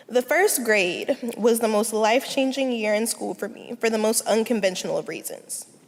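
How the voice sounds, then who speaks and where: A woman's fairly high voice at a moderate pace, with ordinary pitch variation, hardly any pauses and noticeable background noise. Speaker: student speaker. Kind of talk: personal speech.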